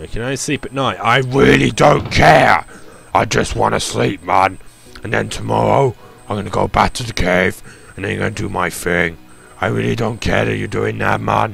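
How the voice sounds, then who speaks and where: A put-on character voice, raspy, with very wide pitch swings. The pace is moderate, and clear music plays in the background. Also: man, very deep, low pitch for a man. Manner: weird, creepy.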